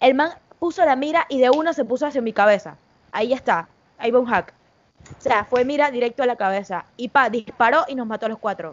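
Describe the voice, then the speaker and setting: An animated, high-pitched woman at a fairly quick pace, her intonation lively. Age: 20s. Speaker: gaming streamer. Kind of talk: casual chat.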